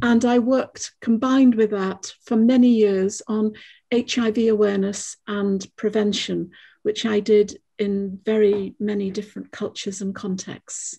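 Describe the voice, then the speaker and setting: A woman speaks with a fairly high pitch and a dark, mellow tone that is somewhat breathy. Her intonation is monotone and flat, and her pace fairly slow. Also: quiet background. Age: 70s. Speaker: climate activist and former lecturer. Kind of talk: self-introduction in group conversation.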